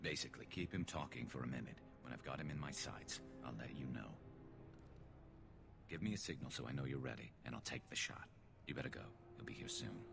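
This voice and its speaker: A put-on character voice at a very fast pace with long, frequent pauses, over loud background noise. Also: man. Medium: video game. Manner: cold, controlled.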